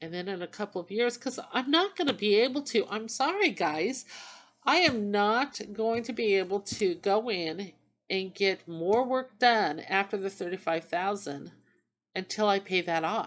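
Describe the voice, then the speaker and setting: Lively intonation runs through an unremarkable speaking voice. The pace is moderate. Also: woman, medium pitch for a woman. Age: 50s. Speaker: vlogger sharing dental journey. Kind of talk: casual vlog monologue. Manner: rambling conversational, with fillers.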